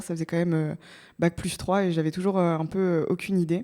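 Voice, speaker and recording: Talking at a very fast pace, a woman has a medium pitch. Her tone is dark and mellow. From France, Normandy (Évreux). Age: 20s. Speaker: startup co-founder. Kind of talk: podcast interview. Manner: many filler hesitations (euh).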